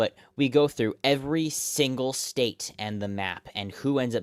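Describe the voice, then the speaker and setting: His pitch shifts in an ordinary manner. The voice belongs to a man. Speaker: election results streamer. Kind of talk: live analysis of election results. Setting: live stream.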